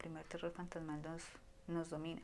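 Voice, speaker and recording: A woman speaks at a fairly quick pace. Her tone is calm and her pitch fairly low. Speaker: audiobook reader. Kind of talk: horror story reading in low voice. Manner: low-voiced, calm.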